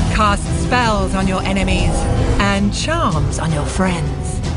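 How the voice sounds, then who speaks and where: Loud music plays in the background as a woman talks at a very slow pace. The sound is dry, with no echo. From British. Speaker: voice actor. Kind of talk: video game trailer. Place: studio. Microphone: studio mic.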